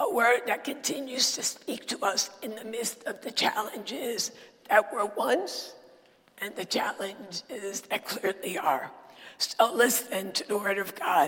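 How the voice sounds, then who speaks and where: A woman's fairly high, lively voice at a fairly slow pace, with big swings in loudness and noticeable background noise. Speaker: preacher. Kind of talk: sermon.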